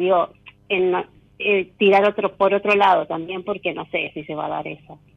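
A woman speaks at a fairly quick pace and a medium pitch with fairly even intonation. It is an unremarkable speaking voice. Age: 40s. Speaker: caller. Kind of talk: casual chat.

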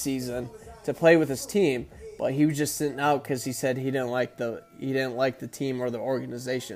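With music playing in the background, a man talks at a fairly high pitch. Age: 20s. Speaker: podcast host. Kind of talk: casual monologue. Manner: hesitant, many fillers.

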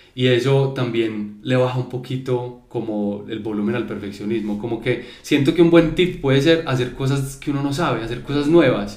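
Against noticeable background noise, a man with a medium pitch talks at a moderate pace with ordinary pitch variation and hardly any pauses. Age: 30s. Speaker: creative business owner. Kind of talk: casual chat.

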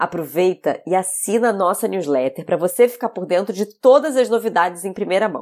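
Here is an ordinary speaking voice from a woman at a moderate pace. Her intonation is lively. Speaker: podcast host and chef. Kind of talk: podcast intro; interview conversation.

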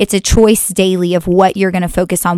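A woman speaks at a fairly quick pace with an American accent. Her pitch sits in the medium range. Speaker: podcast host. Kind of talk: casual chat. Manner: animated.

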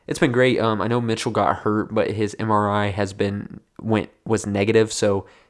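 Against a quiet background, a man with a fairly low pitch talks at a moderate pace with fairly even intonation. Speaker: basketball podcast host. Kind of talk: casual solo podcast talk. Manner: casual, filler-heavy.

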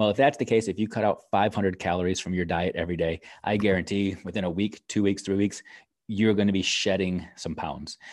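In a very clean recording with a silent background, a man talks in a plain, everyday voice, fairly low in pitch, with fairly even intonation. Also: fairly quick pace. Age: 40s. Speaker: education podcast host. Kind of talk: solo live video talk. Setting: live video stream.

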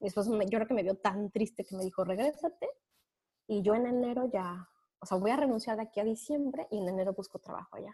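Speaking very fast in a central Mexican accent, a woman with a fairly high, somewhat breathy voice and a dark, mellow tone shows ordinary pitch variation, recorded dry and close with no echo. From Mexico, Puebla. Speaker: accountant. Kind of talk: interview.

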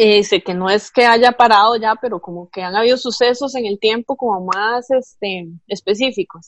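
A woman's ordinary speaking voice, fairly high in pitch, at a moderate pace with fairly even intonation and hardly any pauses. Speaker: podcast co-host. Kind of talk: casual chat.

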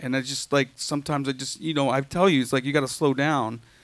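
In a very clean recording with a silent background, a man speaks in an unremarkable speaking voice pitched fairly high. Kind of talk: audience question. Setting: stage with audience.

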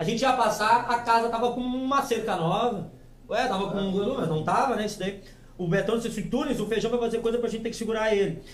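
Over noticeable background noise and audible room echo, a man with a high voice talks fairly quickly with fairly even intonation. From Rio Grande do Sul, Alvorada. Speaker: podcast host. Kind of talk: casual chat. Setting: studio.

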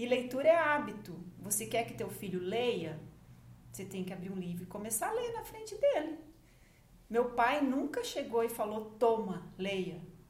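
Here a woman talks at a moderate pace with a fairly high pitch and lively intonation. Her loudness swings widely, and audible room echo surrounds her voice. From Paraná, Brazil. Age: 50s. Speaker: journalist and magazine founder. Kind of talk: podcast interview.

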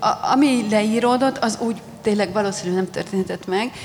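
A woman's fairly high voice at a moderate pace, ordinary pitch variation and noticeable background noise. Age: 40s. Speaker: historian. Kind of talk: panel discussion at book launch. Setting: festival stage with audience.

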